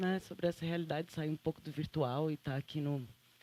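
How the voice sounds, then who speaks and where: In a very clean recording with a silent background, a woman with a Santa Catarina accent talks in a very deep, low pitch with ordinary pitch variation. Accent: Santa Catarina accent, kept. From Santa Catarina, southern Brazil. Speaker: photographer and journalist. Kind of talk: panel talk.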